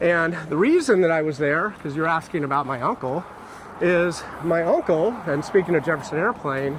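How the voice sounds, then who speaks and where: A man with a West Coast accent and a high pitch talks at a moderate pace with ordinary pitch variation, over noticeable background noise. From San Francisco, California. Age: 50s. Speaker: YouTuber. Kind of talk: casual chat. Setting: outdoors.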